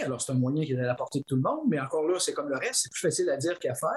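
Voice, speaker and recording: Dry and close, the sound has no echo. A man speaks with fairly high pitch and lively intonation. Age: 60s. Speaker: philosophy professor and author. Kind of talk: interview. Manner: halting.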